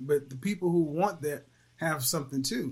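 A man in an American accent, a normal speaking voice at a fairly high pitch with ordinary pitch variation, on a very clean recording with a silent background. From Oklahoma. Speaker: relationship coach and YouTuber. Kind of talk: casual chat.

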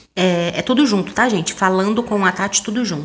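The woman's voice sits at a medium pitch as she talks at a moderate pace. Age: 30s. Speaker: podcaster. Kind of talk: casual monologue.

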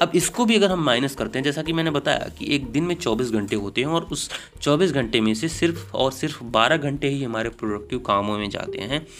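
A fairly high-pitched man at a moderate pace with lively intonation and hardly any pauses, over noticeable background noise. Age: young. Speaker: podcast host. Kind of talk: solo monologue.

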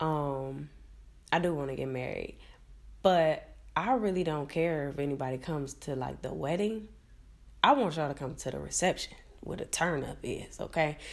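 A woman speaks with vocal fry at a very deep, low pitch and ordinary pitch variation. Her pace is moderate, broken by long, frequent pauses. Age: 20s. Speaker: podcast host. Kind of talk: casual solo chat.

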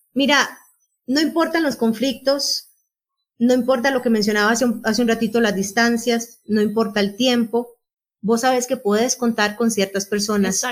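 A woman speaks at a moderate pace in a normal speaking voice, her pitch fairly high and her intonation fairly even. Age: 40s. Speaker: podcast co-host, journalist. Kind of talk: casual chat.

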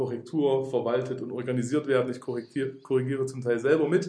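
A man's somewhat breathy voice has medium pitch and a moderate pace. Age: 30s. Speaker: bible school director of studies. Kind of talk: interview about spiritual growth. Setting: in person at a faith centre.

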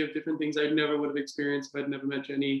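A man speaks in an Australian accent. His pitch sits fairly high. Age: 20s. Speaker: English teacher. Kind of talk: casual chat.

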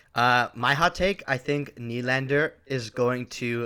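A man's medium-pitched voice, bright and sharp in tone, with ordinary pitch variation and a very slow pace. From Ontario, Canada (Markham). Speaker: hockey podcast co-host. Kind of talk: casual chat.

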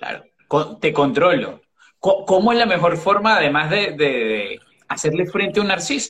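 This man's voice is high, with lively intonation. He keeps a moderate tempo. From Caribbean. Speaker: life coach. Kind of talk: casual chat. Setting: video livestream. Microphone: phone audio, initially bad.

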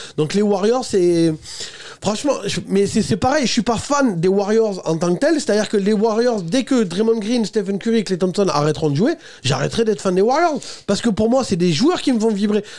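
A high-pitched man speaks at a moderate pace with lively intonation and very even loudness. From France, Toulouse. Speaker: podcast host. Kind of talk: casual chat. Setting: studio.

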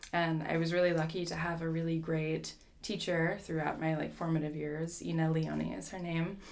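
With audible room echo, a woman with a fairly low voice speaks at a moderate pace in a monotone, flat intonation, with hardly any pauses. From New Jersey. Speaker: orchestral flutist. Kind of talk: casual interview.

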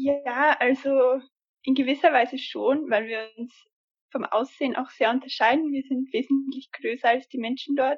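Speaking at a moderate pace, a woman uses a high pitch with fairly even intonation. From Austria. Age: 20s. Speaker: former volunteer abroad. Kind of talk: interview.

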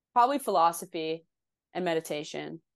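A woman with a very deep, low pitch talks at a moderate pace. The sound is dry and close with no echo, over a quiet background. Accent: New Jersey. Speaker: indie musician. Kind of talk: casual chat. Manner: animated.

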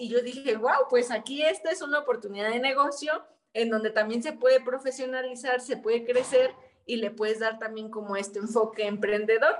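A woman speaks at a moderate pace in a high voice. Her pitch rises and falls in an ordinary way. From Mexico, Michoacán (Quiroga). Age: 30s. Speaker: activist and entrepreneur, former local councillor. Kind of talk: interview conversation.

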